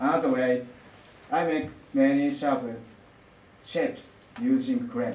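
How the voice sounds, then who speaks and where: Amid noticeable background noise and audible room echo, a man with a Japanese accent speaks at a high pitch with very wide pitch swings and long, frequent pauses. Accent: Japanese, non-native English. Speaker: lacquer artist. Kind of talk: artist presentation. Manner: halting.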